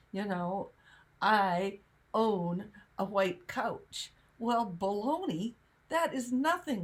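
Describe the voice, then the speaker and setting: Speaking at a very slow pace, a woman uses a medium pitch with very wide pitch swings and a somewhat breathy sound. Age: 70s. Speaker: spiritual teacher. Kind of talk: casual chat.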